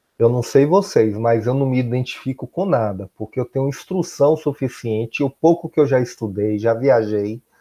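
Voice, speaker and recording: With a Bahian accent, this voice has a dark, mellow tone and runs on with hardly any pauses. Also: man, medium pitch for a man, ordinary pitch variation, moderate pace. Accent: Bahian Brazilian Portuguese. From Bahia, Brazil. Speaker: high school teacher. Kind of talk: recorded class lesson.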